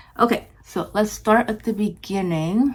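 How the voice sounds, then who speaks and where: A woman talks with lively intonation. Noticeable background noise can be heard behind her. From Japan. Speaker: beauty vlogger. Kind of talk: casual chat while doing makeup. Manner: casual, many fillers and restarts.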